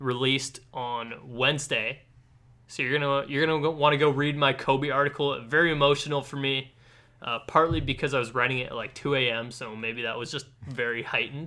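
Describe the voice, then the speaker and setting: At a fairly quick clip and with fairly level intonation, an ordinary speaking voice carries on. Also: man, fairly high pitch for a man. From western Canada (Ladner, BC). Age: 20s. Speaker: student sports podcast host. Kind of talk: casual interview chat.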